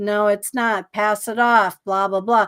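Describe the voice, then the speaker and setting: Here is a woman with a fairly high pitch and an unremarkable speaking voice. Her intonation is fairly even, and the sound is dry and close with no echo. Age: 60s. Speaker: psychic guest on a paranormal podcast. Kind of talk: interview, personal life story. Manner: casual, with many fillers and restarts.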